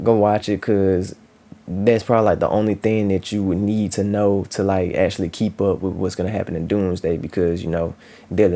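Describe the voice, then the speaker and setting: The pace is fairly quick as a man speaks. His intonation stays monotone and flat. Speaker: YouTube movie reviewer. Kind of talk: casual solo review vlog. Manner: hesitant, stuttering with many fillers.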